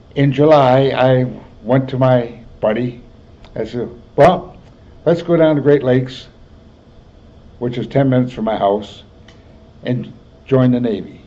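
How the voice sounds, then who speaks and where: A fairly slow voice with an American accent, fairly even intonation, and long, frequent pauses, plus audible room echo. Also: man, medium pitch for a man. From US Midwest. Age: 80s+. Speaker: war veteran. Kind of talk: oral history interview. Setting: health center.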